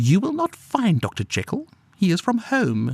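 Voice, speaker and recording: A man puts on a character voice, high-pitched and husky. He speaks at a moderate pace. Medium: read story. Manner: furtive, evasive, then snarling.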